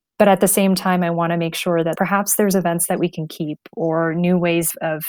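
In a very clean recording with a silent background, a woman with a fairly low pitch talks at a fairly quick pace in monotone, flat intonation. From Netherlands, also UK and Prague. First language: multilingual: English, Dutch, Chinese. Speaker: MBA student and former PR professional. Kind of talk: podcast interview.

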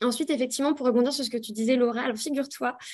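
A woman talks with a high pitch. Her intonation stays fairly even. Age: 30s. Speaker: sexologist. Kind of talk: panel talk.

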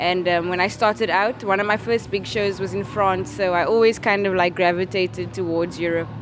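A woman's medium-pitched voice with ordinary pitch variation, a fairly quick pace and hardly any pauses, over noticeable background noise. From South Africa, Cape Town. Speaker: rapper and singer. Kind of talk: interview. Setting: music festival.

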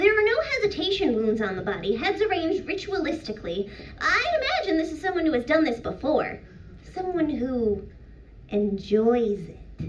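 A female-sounding put-on character voice, extremely high in pitch, with very wide pitch swings, a moderate pace, and clear background noise. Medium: actual play. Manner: eager, polite, stammering.

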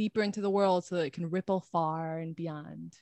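A woman's voice in a dry, close recording with no echo. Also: quiet background. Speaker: podcast co-host. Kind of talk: interview. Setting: video call.

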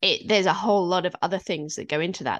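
Speaking at a fairly quick pace with a British accent, a woman shows ordinary pitch variation. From UK. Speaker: fantasy author, former librarian. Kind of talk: interview conversation.

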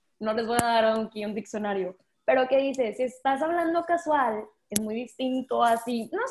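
A woman is speaking. Her pitch sits fairly high. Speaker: content creator. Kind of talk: casual chat. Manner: talkative.

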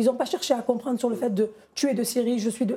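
With a high pitch, a woman talks at a fairly quick pace. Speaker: association president and community activist. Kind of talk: televised political debate. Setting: TV studio.

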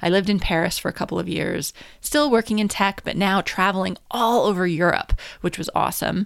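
A woman with vocal fry at a fairly quick pace, on a very clean recording with a silent background. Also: medium pitch for a woman, ordinary pitch variation. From US, New Hampshire. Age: 40s. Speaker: podcast host, business coach. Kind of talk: personal monologue.

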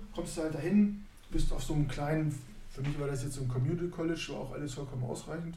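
A man at a very fast pace with ordinary pitch variation, with audible room echo. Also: fairly high pitch for a man. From northern Germany, Neustadt near Hannover. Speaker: basketball coach and former pro player. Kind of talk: casual chat.

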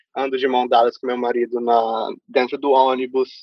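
A man in a Brazilian accent, medium-pitched and monotone with flat intonation, at a moderate pace. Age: 20s. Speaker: immigrant interviewee. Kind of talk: casual interview.

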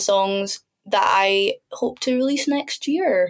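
A woman in a Scottish accent at a fairly slow pace, with ordinary pitch variation. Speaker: singer-songwriter. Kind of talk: casual chat.

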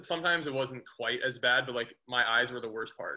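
A man's bright, sharp tone at a fairly quick pace. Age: 20s. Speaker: chiropractor, podcast co-host. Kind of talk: casual chat. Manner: animated.

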